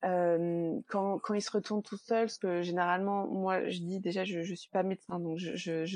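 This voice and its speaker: A woman's medium-pitched voice, monotone and flat, at a moderate pace, in a dry, close sound with no echo. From Normandy, France. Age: 30s. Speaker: perinatal support worker, bereaved mother. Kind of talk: interview testimony.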